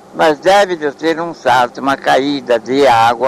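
Noticeable background noise runs behind the recording. A man speaks very slowly. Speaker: elderly local historian. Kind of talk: oral history interview.

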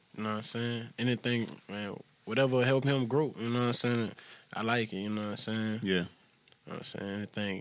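At a fairly quick pace, a man with a bright, sharp tone speaks at a medium pitch in a flat monotone. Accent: American. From Louisiana, Crowley. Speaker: rapper. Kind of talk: casual chat.

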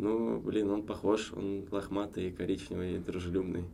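With audible room echo around him, a man speaks in a very deep, low voice with a dark, mellow tone and ordinary pitch variation. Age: 30s. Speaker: businessman, former cinema chain executive. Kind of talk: casual chat. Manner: hesitant with frequent filler sounds.

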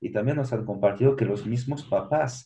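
A man at a moderate pace. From France. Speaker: social entrepreneurship director. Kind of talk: interview.

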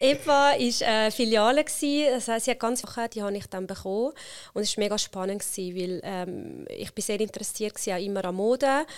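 A woman with an Italian accent speaks at a fairly quick pace, her pitch fairly high with ordinary variation. The recording is very clean, with a silent background. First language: Italian (speaking German). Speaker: HR consultant and company founder. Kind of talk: interview conversation.

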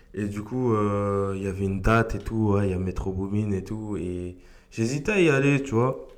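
Fairly low in pitch, a man speaks at a moderate pace with ordinary pitch variation and audible room echo. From France, Argenteuil (Paris suburbs). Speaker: beatmaker. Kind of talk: casual interview.

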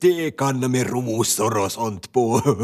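Someone is doing plain reading aloud. Ordinary pitch variation runs through it.

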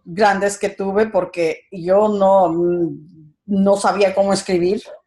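A woman's medium-pitched voice with a Quito Ecuadorian accent, very slow in pace and dark, mellow in tone. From Ecuador, Quito. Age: 60s. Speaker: entrepreneur. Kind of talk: interview.

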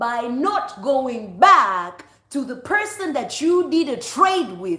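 The voice is raised and projected, with an animated tone. Its pitch swings very widely. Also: woman. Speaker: preacher. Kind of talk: sermon. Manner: animated, fervent preaching.

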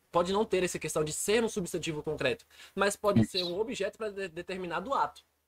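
With lively intonation and a high pitch, a man talks at a very fast pace. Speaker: podcast host. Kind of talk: casual chat.

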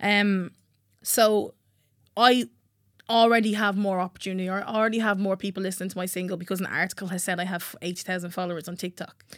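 With a Dublin accent, the speaker talks at a fairly quick pace with fairly even intonation on a very clean recording with a silent background. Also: woman, medium pitch for a woman. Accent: Irish (Dublin). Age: 20s. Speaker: singer-songwriter. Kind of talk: casual chat. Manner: loud laugh.

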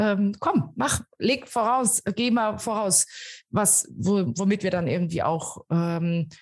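A woman speaks very slowly with lively intonation. The background is quiet. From Germany. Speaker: innovation coach. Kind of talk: interview. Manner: halting, many fillers.

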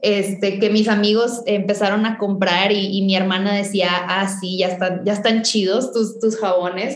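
A woman with a fairly high pitch speaks at a fairly slow pace. Noticeable background noise and audible room echo are present. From Mexico, northern Tamaulipas. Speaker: chemical engineer and entrepreneur. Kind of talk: interview.

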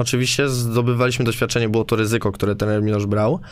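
With fairly even intonation, a man talks in a medium-pitched voice. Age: 20s. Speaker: basketball player. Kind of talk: casual chat. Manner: halting.

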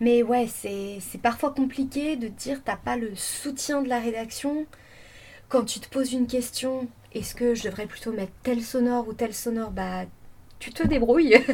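A woman with a high pitch speaks at a fairly slow pace. Her intonation is fairly even, yet her loudness swings a lot. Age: 20s. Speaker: freelance radio journalist. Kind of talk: interview. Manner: halting, many fillers.

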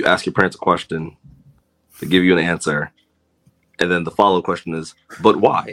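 A man with an American accent and a very deep, low pitch, fairly quick pace, long, frequent pauses and monotone, flat intonation. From US, Washington D.C. area (Silver Spring, Maryland). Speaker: podcaster, guest. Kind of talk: casual chat.

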